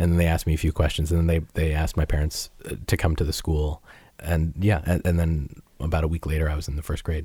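A somewhat breathy, dark, mellow voice at a very fast pace, with monotone, flat intonation and a very clean recording with a silent background. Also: man, very deep, low pitch for a man. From Massachusetts (Peabody), US. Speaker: musician and podcast host. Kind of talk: interview.

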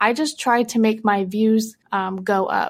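On a very clean recording with a silent background, a woman with an American accent and a normal speaking voice talks at a fairly slow pace, her fairly high pitch held in fairly even intonation. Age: 20s. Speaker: anonymous adult content creator. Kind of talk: casual interview chat.

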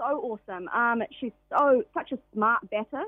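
With a New Zealand accent, a woman speaks in a fairly high voice with ordinary pitch variation. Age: 20s. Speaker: professional cricketer. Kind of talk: radio interview. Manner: halting, many fillers.

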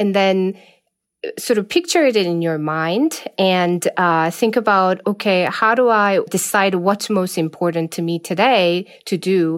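On a very clean recording with a silent background, a woman with a non-native accent speaks at a medium pitch and a fairly slow pace, with ordinary pitch variation. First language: not English. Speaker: management professor. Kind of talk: interview.

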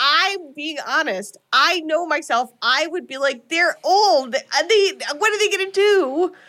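In a raised, projected voice with a bright, sharp tone, a woman speaks at an extremely high pitch, slowly but with lively intonation. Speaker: podcast co-host. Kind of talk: casual chat, live show, retelling movie plot. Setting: live show, video stream.

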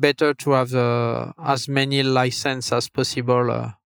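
A man with a French accent speaks at a medium pitch and a fairly slow pace in monotone, flat intonation, with a dry, close sound with no echo on a very clean recording with a silent background. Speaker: video game designer. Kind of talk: interview. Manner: halting, many fillers.

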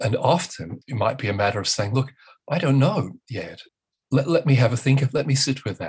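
At a fairly quick pace, a man speaks in a somewhat breathy voice with lively intonation. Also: medium pitch for a man. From northern England. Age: 60s. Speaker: author and parent educator. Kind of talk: interview. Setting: remote call from home.

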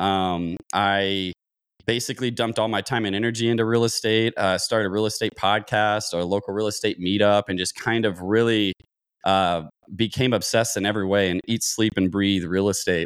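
A man with an American accent and a normal speaking voice, fairly low in pitch with fairly even intonation and a fairly quick pace, on a very clean recording with a silent background. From Kentucky, US South. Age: 30s. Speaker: real estate investor, former air traffic controller. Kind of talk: interview.

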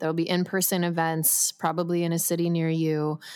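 Here is an ordinary speaking voice. The pace is moderate. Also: woman, very clean recording, silent background. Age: 30s. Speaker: sports medicine doctor and wellness founder. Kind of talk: interview.

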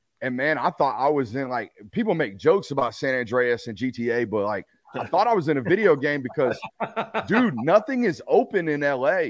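A man with a Texan accent speaks at a moderate pace. His fairly high voice makes very wide pitch swings. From Texas. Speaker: sports media personality, former college football player. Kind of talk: casual interview.

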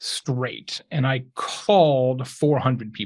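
Very slow, somewhat breathy man's voice, fairly high in pitch, with ordinary pitch variation. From Arizona, US. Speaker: author and entrepreneur. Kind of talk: casual chat.

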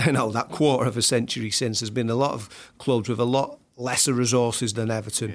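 A man with an ordinary speaking voice, medium pitch, fairly quick pace and fairly even intonation, very clean recording with a silent background. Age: 30s. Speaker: football writer. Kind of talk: casual chat.

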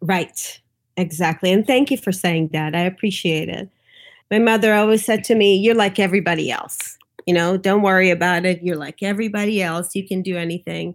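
On a very clean recording with a silent background, a woman with an American accent speaks in a plain, everyday voice at a medium pitch and a fairly quick pace, with ordinary pitch variation. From New York. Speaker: doula and lactation consultant. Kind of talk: interview, telling her birth story.

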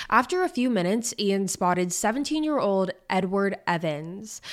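The recording is very clean, with a silent background. A woman uses a normal speaking voice at a medium pitch and a moderate pace. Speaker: podcast host. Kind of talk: true-crime narration. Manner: measured storytelling; conversational.

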